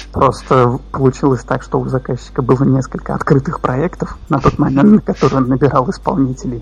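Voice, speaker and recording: A man talks at a fairly quick pace with hardly any pauses. Music plays in the background. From Russia, Kazan. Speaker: QA automation engineer, freelancer. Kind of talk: casual interview.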